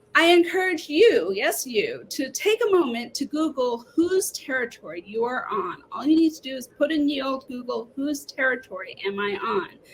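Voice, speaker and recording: A woman speaks at a high pitch and moderate pace with very wide pitch swings and hardly any pauses. Noticeable background noise runs underneath. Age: middle-aged. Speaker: author and English professor. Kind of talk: book talk. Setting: live online event. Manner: animated.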